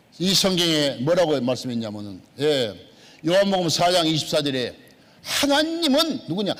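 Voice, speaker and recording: Speaking at a moderate pace, a man swings his pitch very widely amid audible room echo. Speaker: pastor. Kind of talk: sermon. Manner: emphatic, repetitive.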